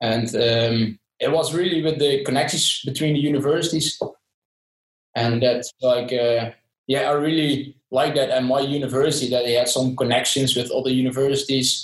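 A man with a Dutch accent speaks at a medium pitch and a moderate pace, somewhat breathy. His loudness stays very even, and his intonation is fairly even. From southern Netherlands. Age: 20s. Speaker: sportswear company employee. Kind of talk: interview. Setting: video call. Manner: halting with many fillers.

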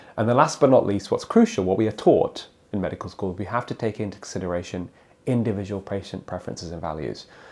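Speaking very fast with a British accent, a man uses a fairly low voice with ordinary pitch movement and big swings in loudness. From England. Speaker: cardiologist. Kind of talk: interview.

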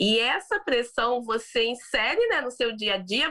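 A woman's fairly high, bright, sharp voice at a fairly slow pace. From Brazil. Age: 30s. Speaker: business executive and founder. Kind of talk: interview.

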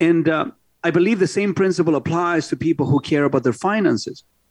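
A man's normal speaking voice at a fairly quick pace, ordinary pitch variation, dry and close with no echo, over a quiet background. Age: 50s. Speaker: radio host and car dealer. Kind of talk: casual radio talk show. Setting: studio.

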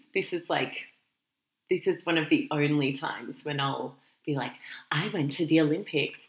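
A woman with an Australian accent speaks at a moderate pace in a very deep, low voice, with ordinary pitch variation and long, frequent pauses. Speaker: careers podcast co-host. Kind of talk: casual chat.

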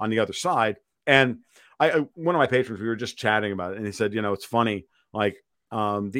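A man's voice with a fairly low pitch and ordinary pitch variation. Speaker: financial and political commentator. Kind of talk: podcast interview. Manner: animated; profane.

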